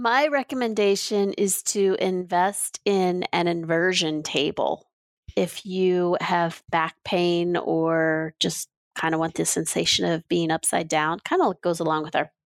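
A woman with an ordinary speaking voice, fairly low pitch and ordinary pitch variation, at a fairly slow pace, in a dry, close sound with no echo. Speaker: podcast co-host. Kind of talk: casual chat. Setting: video call.

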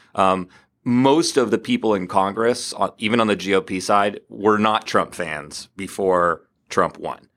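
A man's normal speaking voice, fairly low in pitch with ordinary pitch variation, at a fairly slow pace, on a very clean recording with a silent background. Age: 40s. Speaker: tech design executive and startup founder. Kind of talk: casual chat. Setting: studio.

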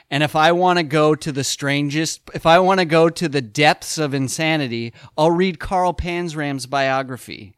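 Here is a man with an unremarkable speaking voice, fairly high in pitch, at a moderate pace with hardly any pauses and ordinary pitch variation. The sound is dry and close with no echo, on a very clean recording with a silent background. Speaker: podcast co-host. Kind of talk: casual chat.

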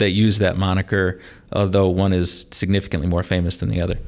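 The speaker has a Midwestern US accent. The recording is very clean, with a silent background. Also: man. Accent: US Midwest. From northern Indiana (LaPorte), US Midwest. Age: 30s. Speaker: teacher and rapper. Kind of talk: casual chat.

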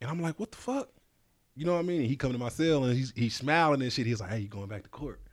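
In a very clean recording with a silent background, a man talks at a very fast pace, his medium pitch carried by lively intonation. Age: 40s. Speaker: podcast host. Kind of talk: casual interview.

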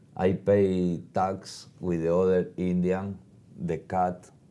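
A man's very deep, low voice with a Spanish accent, dark and mellow in tone, at a very slow pace with monotone, flat intonation. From Argentina. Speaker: motorcycle traveler. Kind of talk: interview. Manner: halting.

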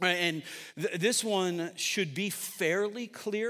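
A man's high, raised, projected voice comes through on a very clean recording with a silent background. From upstate New York (Syracuse). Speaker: pastor. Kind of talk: sermon. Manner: casual, conversational with fillers.

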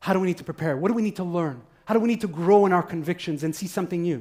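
A man speaks at a very fast pace with a passionate tone. His intonation is lively. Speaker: preacher. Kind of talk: sermon. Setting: church with congregation. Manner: fast talker.

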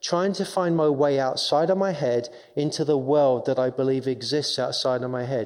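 The voice has an English accent and ordinary pitch variation. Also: man. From England, London. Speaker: chaplain. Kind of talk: testimony.

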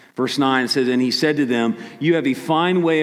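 Noticeable background noise behind a man's fairly high-pitched voice and its ordinary pitch variation. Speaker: pastor. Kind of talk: sermon. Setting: church.

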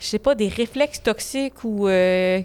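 A woman in a Quebec accent talks at a fairly slow pace, recorded dry and close with no echo. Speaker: podcast co-host. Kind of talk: casual chat.

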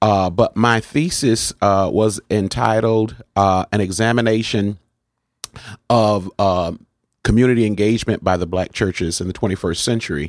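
A man with an American accent speaks in an unremarkable speaking voice at a fairly low pitch, with ordinary pitch variation and very even loudness. His moderate pace comes through in a dry, close sound with no echo. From New Haven, Connecticut. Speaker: pastor. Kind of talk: interview.

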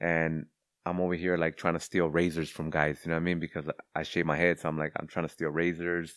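A man with a very deep, low voice and an American accent, very fast, in a monotone with flat intonation. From Los Angeles, California (Cudahy). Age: 30s. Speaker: Marine veteran. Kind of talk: casual interview.

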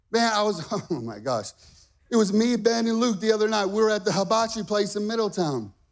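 A man speaks at a fairly quick pace in a high pitch, his tone confident and animated. The recording is very clean, with a silent background. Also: ordinary pitch variation. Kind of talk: sermon. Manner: animated, fired-up, emphatic and repetitive, with call-and-response; exhorting the congregation, rallying and confident.

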